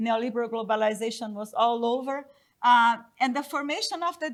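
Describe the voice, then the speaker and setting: A high-pitched woman with a non-native accent and lively intonation, on a very clean recording with a silent background. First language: not English. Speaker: economist panelist. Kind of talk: conference presentation. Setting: conference panel with audience. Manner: halting.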